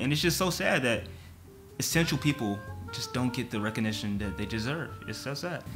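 A man speaks at a very fast pace. Clear music plays in the background. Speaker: reaction youtuber. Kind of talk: casual vlog chat. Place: home room.

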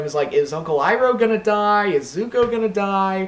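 A man with a Mid-Atlantic American accent, high pitch, lively intonation and a fairly quick pace. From Washington D.C., US. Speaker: YouTuber. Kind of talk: Q&A video monologue, casual. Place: home room. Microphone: webcam.

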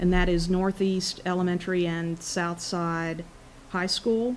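In a plain, everyday voice, a woman speaks at a medium pitch and moderate pace with fairly even intonation over light background noise. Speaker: energy company technical presenter. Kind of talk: technical presentation. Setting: public board meeting at podium. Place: meeting room. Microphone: podium.

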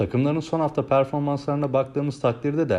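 At a fairly quick pace, a man talks in a dark, mellow tone at a medium pitch. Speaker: sports betting tipster. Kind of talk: scripted narration.

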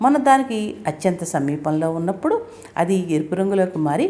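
Intonation is lively throughout this plain reading aloud.

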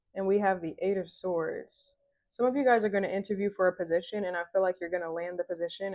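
Against a quiet background, the speech runs at a fairly quick pace with fairly even intonation. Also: woman. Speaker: tarot reader. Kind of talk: tarot reading to viewers. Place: home room. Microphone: lapel.

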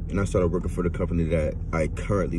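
A man is speaking. The sound is dry with no echo, and there is noticeable background noise. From Louisiana. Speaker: vlogger. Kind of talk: personal monologue to camera. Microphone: phone near.

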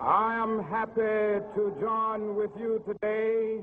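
Over light background noise, a man with a high voice speaks at a very slow pace. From United States. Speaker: minister and civil rights leader. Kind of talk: public speech to a mass rally. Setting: outdoors, PA system. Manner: oratorical, rhythmic, impassioned. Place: stage. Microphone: podium.

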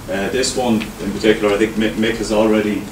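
A man speaks at a fairly low pitch. There is noticeable background noise. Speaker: presenter. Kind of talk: presentation talk. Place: meeting room.

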